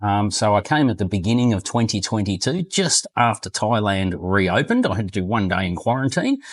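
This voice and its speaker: Over a quiet background, a man with an Australian accent speaks at a medium pitch with ordinary pitch variation. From Australia, Queensland. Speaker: retired expat. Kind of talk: interview. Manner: halting, many fillers.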